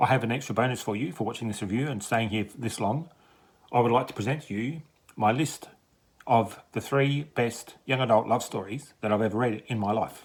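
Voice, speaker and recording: An ordinary speaking voice comes from a man at medium pitch with ordinary pitch variation. He keeps a moderate pace on a very clean recording with a silent background. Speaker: book reviewer. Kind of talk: book review vlog.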